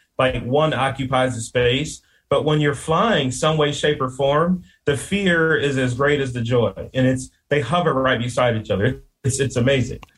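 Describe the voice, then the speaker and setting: A man with an American accent speaks at a medium pitch, somewhat breathy. His loudness stays very even, with ordinary pitch variation. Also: moderate pace. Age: 40s. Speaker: landscape business owner and podcaster. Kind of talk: casual interview chat.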